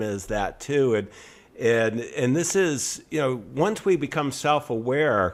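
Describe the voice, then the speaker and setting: A man's medium-pitched voice at a fairly slow pace, with lively intonation. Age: 60s. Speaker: podcast host, entrepreneur. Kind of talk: interview conversation. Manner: halting, many fillers.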